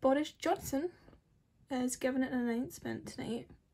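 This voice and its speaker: Her pitch is high, with ordinary variation. The woman speaks at a moderate pace. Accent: Scottish. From Scotland. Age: young. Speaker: beauty vlogger. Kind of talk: casual talk to camera. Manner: chatty, rambling. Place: home room. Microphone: phone near.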